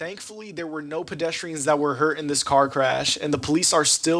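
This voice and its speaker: Over noticeable background noise, a man speaks fairly quickly at a fairly high pitch with fairly even intonation. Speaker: student TV reporter. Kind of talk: TV news field report.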